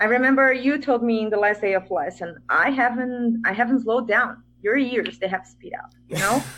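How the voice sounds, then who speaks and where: A woman's high-pitched voice with a bright, sharp tone, a moderate pace and a Portuguese accent. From Brazil. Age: 30s. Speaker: English teacher. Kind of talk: interview.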